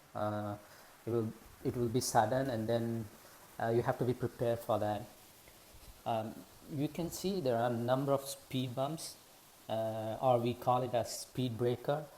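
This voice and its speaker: The speaker has a non-native accent and a moderate pace. Long pauses come often. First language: not English. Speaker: driving video creator. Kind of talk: tutorial. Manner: halting, many fillers.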